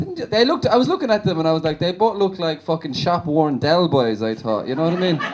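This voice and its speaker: A man with a Limerick accent talks at a fairly quick pace and a high pitch, with very wide pitch swings. Noticeable background noise can be heard. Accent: Limerick Irish. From Ireland, Limerick. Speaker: stand-up comedian. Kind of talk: stand-up. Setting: stage with audience.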